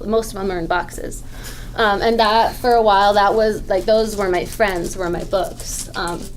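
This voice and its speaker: Amid noticeable background noise and audible room echo, a woman with an American accent speaks at a moderate pace, her medium pitch held in fairly even intonation. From San Diego, California. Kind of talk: panel discussion. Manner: hesitant, many fillers.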